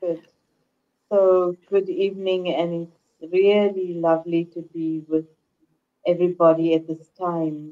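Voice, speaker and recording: Speaking with a dark, mellow tone at a fairly low pitch, a woman goes at a fairly slow pace with long, frequent pauses, monotone, flat intonation and big swings in loudness. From South Africa. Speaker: spiritual teacher. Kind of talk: spiritual talk with interpreter. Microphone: unstable internet connection.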